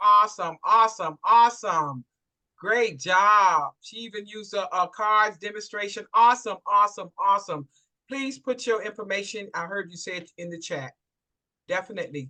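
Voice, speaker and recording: The voice is bright and sharp, with an animated tone and big swings in loudness. It moves at a moderate pace. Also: woman, medium pitch for a woman, ordinary pitch variation. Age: 60s. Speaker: event host. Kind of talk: live event hosting.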